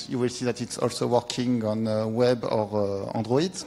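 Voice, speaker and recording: A man with a French accent at a moderate pace. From France. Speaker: software developer. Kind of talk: conference talk. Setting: stage with audience. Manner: halting. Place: hall.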